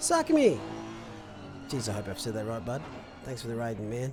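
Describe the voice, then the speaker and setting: Music plays in the background. A man talks with an Australian accent. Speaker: sim racing commentator and streamer. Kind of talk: live commentary; casual chat with stream chat. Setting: live stream. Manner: casual, animated.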